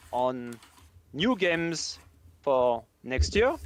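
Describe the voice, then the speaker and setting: A man with a French accent speaks against a quiet background. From France. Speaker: game developer. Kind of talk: live stream chat.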